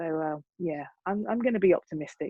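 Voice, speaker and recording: A woman with a British accent and ordinary pitch variation. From UK. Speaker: music educator. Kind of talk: panel discussion. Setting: video call.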